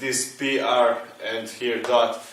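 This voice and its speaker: A man speaks in a space with audible room echo while noticeable background noise carries on. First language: not English. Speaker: engineering teacher. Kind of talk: tutorial. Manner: halting.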